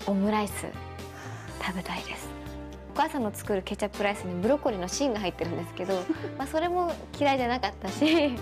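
A woman at a very fast pace broken by long, frequent pauses, with clear music in the background. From Ishikawa, Japan. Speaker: actress. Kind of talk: TV interview answer. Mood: shy, cheerful, often laughing. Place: empty room. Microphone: handheld.

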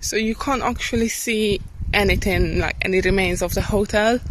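A woman at a fairly slow pace, dry sound with no echo, noticeable background noise. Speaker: travel vlogger. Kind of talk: casual vlog chat. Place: open country. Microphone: phone near.

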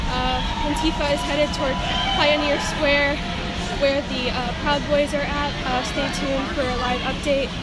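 A woman at a moderate pace, loud music in the background. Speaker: newspaper reporter. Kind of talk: live field report. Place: street. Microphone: phone near.

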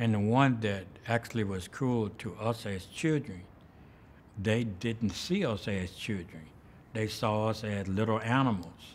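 In a Southern US accent, a man of medium pitch speaks at a fairly slow pace with light background noise. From US South (Birmingham, Alabama). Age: 70s. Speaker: artist and musician. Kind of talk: interview. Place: hall.

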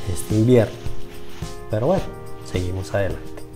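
A man talks at a fairly low pitch. There is music in the background. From Colombia. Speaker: retiree vlogger. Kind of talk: casual talk to camera.

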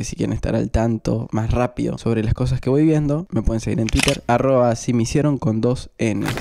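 The man's voice carries a dark, mellow tone. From Argentina. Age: 20s. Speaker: film and series youtuber; series youtuber. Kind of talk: casual review vlog. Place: home room. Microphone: handheld.

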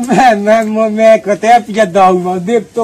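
Intonation stays fairly even as the words come at a fairly slow pace. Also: man. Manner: slurred, drunken stammering speech. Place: open country.

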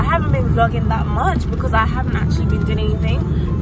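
Loud background noise surrounds a woman whose voice sounds dry with no echo. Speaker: travel vlogger. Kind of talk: casual vlog chat. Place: car. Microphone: phone near.

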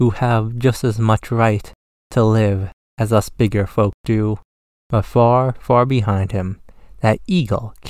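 With a quiet background, the unforced reading voice keeps its intonation fairly even.

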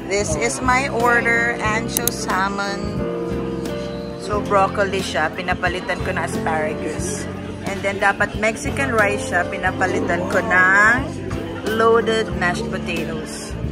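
Over loud background music, a woman talks at a fairly slow pace with long, frequent pauses. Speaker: vlogger. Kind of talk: casual vlog chat. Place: cafe. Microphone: phone near.

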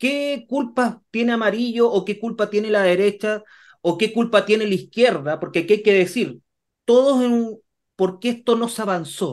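Over a quiet background, a man with a Chilean accent talks at a moderate pace in a high pitch, with ordinary pitch variation. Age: 30s. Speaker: co-host. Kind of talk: political interview. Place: office. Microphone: video call.

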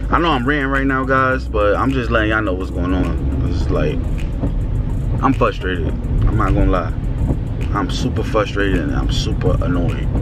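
A man at a moderate pace with ordinary pitch variation and long, frequent pauses, clear music in the background, dry sound with no echo. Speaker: vlogger. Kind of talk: casual vlog rant. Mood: frustrated, annoyed. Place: car. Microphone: phone near.

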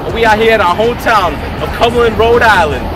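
With music in the background, a man's words come at a fairly quick pace. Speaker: vlog host. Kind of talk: casual vlog chat. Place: street. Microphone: camera far.

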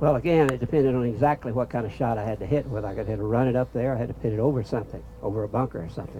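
A man's dark, mellow tone at a very fast pace, with fairly even intonation and light background noise. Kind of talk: informal talk to audience. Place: open country. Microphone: camera far.

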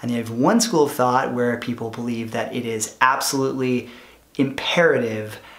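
Here a man talks at a moderate pace in a monotone, flat intonation. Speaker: product manager and former entrepreneur. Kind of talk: vlog monologue. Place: home room.

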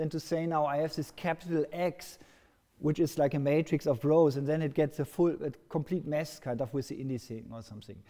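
A man with a dark, mellow tone talks at a fairly quick pace against a quiet background. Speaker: lecturer. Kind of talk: lecture. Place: hall.

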